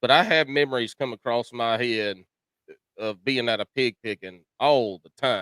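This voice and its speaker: A man with a Carolina accent at a moderate pace, with ordinary pitch variation. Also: medium pitch for a man. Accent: Southern US, rural Carolina. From US South, South Carolina (Chesterfield County). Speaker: podcast host. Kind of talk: casual chat.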